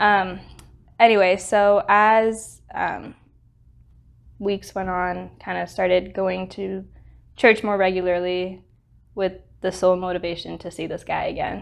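A woman at a fairly slow pace, monotone and flat in intonation, with big swings in loudness and long, frequent pauses. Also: medium pitch for a woman. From Pakistan, Middle East and Singapore. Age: 20s. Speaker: student. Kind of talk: testimony.

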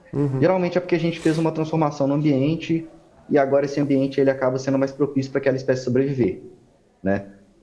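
A very fast, fairly high male voice with a dark, mellow tone and very even loudness. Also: fairly even intonation. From Minas Gerais, Belo Horizonte. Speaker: ecologist. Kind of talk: interview.

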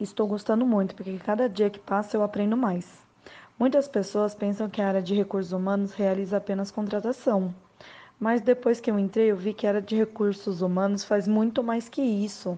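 This woman talks at a moderate pace with fairly even intonation. Her medium pitch has a dark, mellow tone. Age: 20s. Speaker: HR assistant. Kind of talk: interview.

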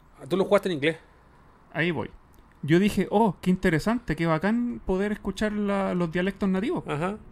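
Moderate pace in a Chilean accent. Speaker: video game podcast co-host. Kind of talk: casual chat.

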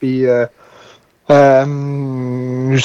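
A man speaks with a Quebec accent in a dark, mellow tone. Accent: Québécois French. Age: 30s. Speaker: dairy farmer. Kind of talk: casual interview.

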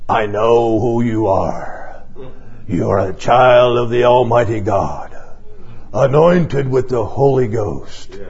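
A menacing put-on character voice unfolds at a fairly slow pace over clear background noise. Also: man, medium pitch for a man. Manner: menacing, possessed.

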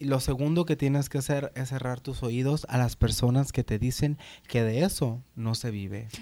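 A man speaks at a moderate pace and a medium pitch, with a dark, mellow tone and fairly even intonation, in a very clean recording with a silent background. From Sonora, Mexico (Hermosillo). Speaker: drag performer. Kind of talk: casual chat. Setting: at home.

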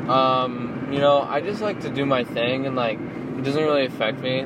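A man with an American accent at a moderate pace, with audible room echo and noticeable background noise. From California. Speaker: comedian. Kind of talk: casual chat. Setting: in a car.

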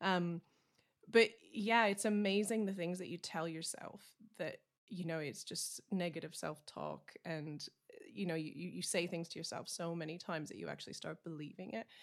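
Here is a normal speaking voice at a moderate pace with ordinary pitch variation. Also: woman, fairly low pitch for a woman. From Canada. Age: 40s. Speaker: country singer-songwriter. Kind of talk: casual interview.

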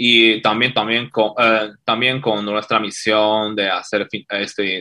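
Here a man speaks with a Chinese accent at a fairly slow pace. His tone is bright and sharp. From China. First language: Chinese (speaking Spanish). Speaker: fintech CEO. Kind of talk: interview.

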